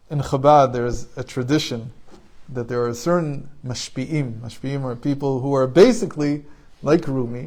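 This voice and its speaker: A man with an Israeli accent talks at a moderate pace. His pitch is medium, with ordinary variation. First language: Hebrew. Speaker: spiritual teacher. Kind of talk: informal talk.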